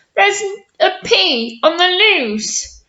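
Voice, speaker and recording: In a put-on character voice, a woman squeaks at an extremely high pitch with very wide pitch swings. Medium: read story. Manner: bold, heroic.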